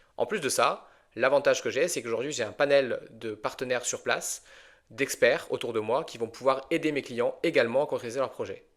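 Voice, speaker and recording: In a very clean recording with a silent background, a man's words come at a fairly quick pace. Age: 30s. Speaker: financial advisor and podcast host. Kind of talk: interview answers, podcast. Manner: conversational with fillers.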